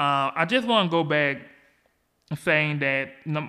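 With an American accent, this man has a fairly high pitch and a bright, sharp tone. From US South, Georgia. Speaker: podcast host. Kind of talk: solo podcast monologue about politics. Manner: halting, many fillers.

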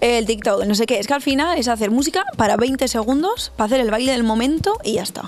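A woman's high voice at a fairly quick pace, with lively intonation. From northern Spain, Burgos province. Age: young. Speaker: R&B singer. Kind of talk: interview.

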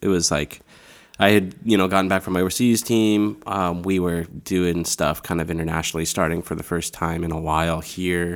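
Recorded very clean over a silent background, a man with a Midwestern US accent speaks at a moderate pace with very deep, low pitch and fairly even intonation. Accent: US Midwest. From Iowa, Des Moines. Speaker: campus ministry leader. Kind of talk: casual chat.

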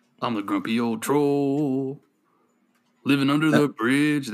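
Using a put-on character voice at a medium pitch, a man talks at a moderate pace on a very clean recording with a silent background. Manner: grumpy.

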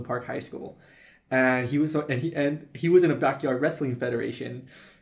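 A man with an unremarkable speaking voice, fairly high pitch, a fairly quick pace and ordinary pitch variation. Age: 20s. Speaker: podcast co-host. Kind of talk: casual chat.

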